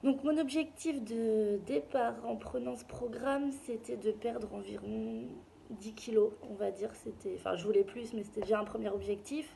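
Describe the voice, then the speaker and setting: Her intonation is lively and her pitch fairly high. This woman talks at a fairly slow pace over noticeable background noise. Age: 20s. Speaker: client giving a testimonial. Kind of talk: testimony. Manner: hesitant, many fillers.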